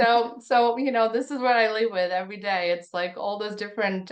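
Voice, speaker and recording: At a moderate pace, a woman speaks with a Russian accent. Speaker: tech founder. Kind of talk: podcast interview. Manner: halting.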